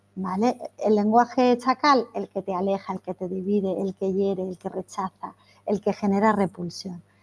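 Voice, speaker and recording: In a dry, close sound with no echo, a woman talks at a moderate pace with fairly even intonation. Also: medium pitch for a woman. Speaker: trainer / workshop facilitator. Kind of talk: online training workshop.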